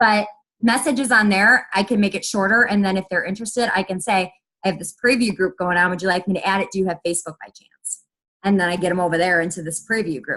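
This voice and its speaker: A woman at a very fast pace, with a bright, sharp tone and a medium pitch of ordinary variation. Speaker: network marketing fitness coach. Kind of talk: group call tips talk. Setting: conference call.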